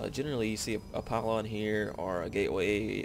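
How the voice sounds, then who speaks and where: Over music in the background, a man with a strong Southern US accent speaks at a fairly low pitch. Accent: very southern US. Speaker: video game commentator. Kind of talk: live game commentary. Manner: hesitant, many filler words.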